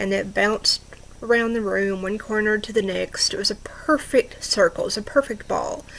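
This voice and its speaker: Background noise is noticeable here. The woman keeps to a moderate pace. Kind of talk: true ghost story told to camera. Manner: conversational, with hesitations.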